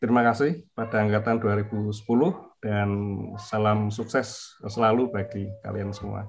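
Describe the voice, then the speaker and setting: Over light background noise, a man talks at a moderate pace. His pitch is fairly low and his intonation fairly even. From Indonesia. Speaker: university department head. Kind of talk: welcome speech. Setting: video call. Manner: formal. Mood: polite, grateful. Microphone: video call.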